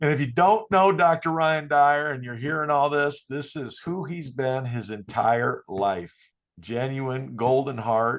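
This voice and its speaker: With a Midwestern accent, a man talks at a fairly high pitch and a fairly slow pace. His intonation is lively, and the background is quiet. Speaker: podcast host, basketball coach. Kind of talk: casual chat. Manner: animated.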